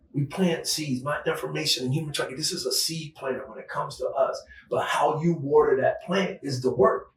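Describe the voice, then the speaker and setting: A man talking with hardly any pauses amid noticeable background noise. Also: fairly quick pace. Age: 60s. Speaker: retired law enforcement agent and human trafficking advocate. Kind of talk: interview conversation.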